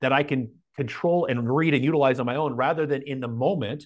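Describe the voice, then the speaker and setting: This man talks at a moderate pace in a fairly high pitch, with ordinary pitch variation. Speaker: business coach. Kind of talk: casual interview chat.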